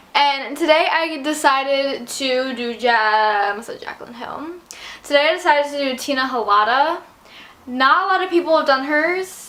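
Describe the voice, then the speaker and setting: A woman with a high voice speaks at a moderate pace, her voice raised and projected and her intonation lively. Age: young. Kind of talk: casual talk to camera.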